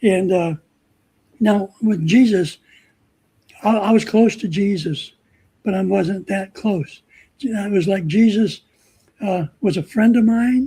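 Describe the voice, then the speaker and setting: A man with a high, dark, mellow voice speaks very slowly, with long, frequent pauses. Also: ordinary pitch variation. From Southern California. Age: 70s. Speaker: guest, photographer. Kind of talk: testimony. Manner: halting, many fillers and repetitions.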